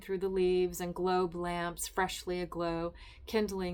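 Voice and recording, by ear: Someone is reading aloud in a natural voice.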